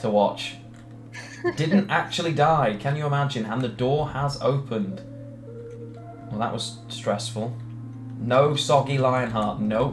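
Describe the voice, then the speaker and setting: With faint music in the background, a man speaks fairly slowly with ordinary pitch variation and long, frequent pauses. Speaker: game streamer. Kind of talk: live gameplay commentary. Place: home room. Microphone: headset.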